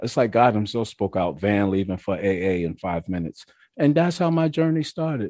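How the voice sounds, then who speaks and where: A dark, mellow tone in a New York accent, very wide pitch swings, a moderate pace, and a dry, close sound with no echo. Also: man. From New York, Mount Vernon. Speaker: recovering alcoholic sharing his story. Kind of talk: testimony. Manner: animated.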